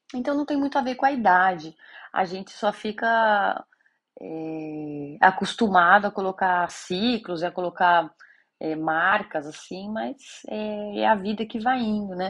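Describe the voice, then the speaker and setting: Her intonation lively, a woman speaks fairly slowly at a medium pitch. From Brazil, São Paulo city. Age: 30s. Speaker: podcast host. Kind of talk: casual monologue.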